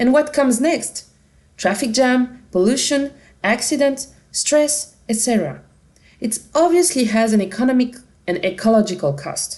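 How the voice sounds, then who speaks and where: In a French accent, a woman speaks at a high pitch with lively intonation. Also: moderate pace. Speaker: company representative presenting a product. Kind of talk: conference product presentation. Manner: dynamic.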